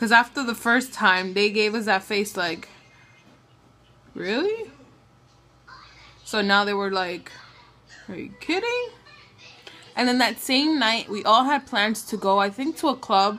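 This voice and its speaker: Amid noticeable background noise, a woman with a fairly high pitch talks at a fairly slow pace, leaving long, frequent pauses. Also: ordinary pitch variation. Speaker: new mother. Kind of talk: casual talk to camera. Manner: halting, with stutters and pauses.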